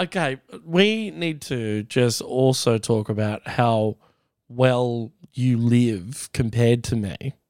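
On a very clean recording with a silent background and a dry, close sound with no echo, a man with an Australian accent talks very slowly at medium pitch with ordinary pitch variation. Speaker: comedian. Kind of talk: casual chat.

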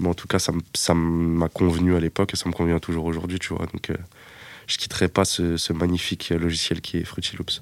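A man speaks in a monotone, flat intonation with a very deep, low pitch. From Paris suburbs, France (Seine-Saint-Denis). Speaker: music producer. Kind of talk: interview. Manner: casual, filler-heavy.

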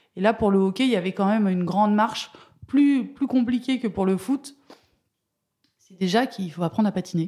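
A woman's somewhat breathy, dark, mellow voice at medium pitch, with ordinary pitch variation, a fairly quick pace, big swings in loudness and long, frequent pauses. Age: 40s. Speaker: former ice hockey referee. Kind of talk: interview.

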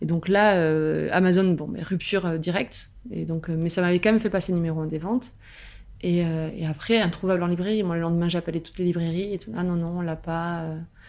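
The intonation is fairly even. The pace is fairly quick. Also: woman, fairly low pitch for a woman. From southern France, Albi. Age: 30s. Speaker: novelist. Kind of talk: interview, casual chat. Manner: hesitant, many fillers.

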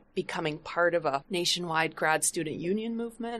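A woman speaks in a normal speaking voice, fairly low in pitch with ordinary variation. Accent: American. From US Midwest, Flint, Michigan. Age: 60s. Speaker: sociology professor. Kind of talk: podcast interview.

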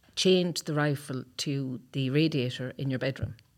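A woman speaks with a Cork accent at a very deep, low pitch. Her pace is fairly slow and her intonation fairly even. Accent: Cork Irish. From Cork, Ireland. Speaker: retired army officer. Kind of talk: interview.

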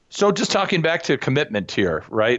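Speaking at a fairly quick pace, a man uses vocal fry and very wide pitch swings. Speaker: business consultant and author. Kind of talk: radio interview, casual. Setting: phone call.

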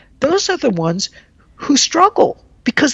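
This is a woman speaking with an American accent. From rural Texas, US. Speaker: engineering professor. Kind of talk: casual interview.

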